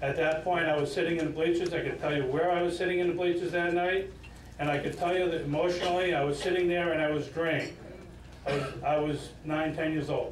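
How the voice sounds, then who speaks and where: Light background noise and audible room echo accompany a man talking at a very fast pace in a high pitch, with very even loudness and monotone, flat intonation. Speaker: retired high school coach; speaker. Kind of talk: acceptance speech. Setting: stage with audience. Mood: warm, nostalgic. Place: hall.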